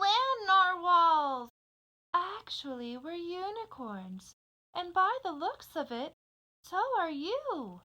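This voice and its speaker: A woman puts on a character voice at an extremely high pitch. Her pace is very slow. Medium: read story.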